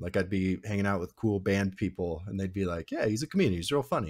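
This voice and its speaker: Against a quiet background, a man talks at a very fast pace. His pitch is fairly low. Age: 40s. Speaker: podcast co-host. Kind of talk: casual chat. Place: home room.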